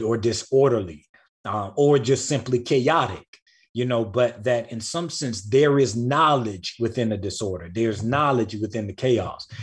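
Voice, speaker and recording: This man speaks at a medium pitch with ordinary pitch variation. His pace is moderate and his voice is somewhat breathy. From rural US South. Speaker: writer and author. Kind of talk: casual interview chat. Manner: animated, repeats words.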